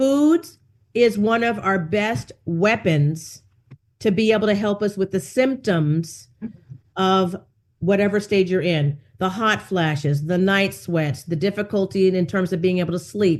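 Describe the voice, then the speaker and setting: A woman with an unremarkable speaking voice, medium-pitched and lively in intonation, at a fairly slow pace over a quiet background. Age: 60s. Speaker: wellness coach and nutritionist. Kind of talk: interview. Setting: podcast.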